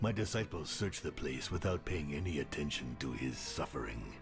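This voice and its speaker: Over clear music in the background, a man performs a put-on character voice at a moderate pace. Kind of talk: dark fantasy narration. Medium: video game. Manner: menacing, theatrical.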